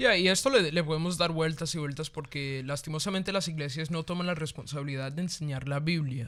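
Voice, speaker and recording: An animated man speaks at a fairly quick pace with hardly any pauses, his pitch fairly high and its variation ordinary. The recording is very clean, with a silent background. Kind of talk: casual discussion of faith topics. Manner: fast.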